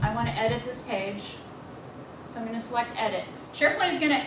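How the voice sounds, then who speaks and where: A woman talks at a very fast pace, with noticeable background noise and audible room echo. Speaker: project manager presenting software. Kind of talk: software demo presentation.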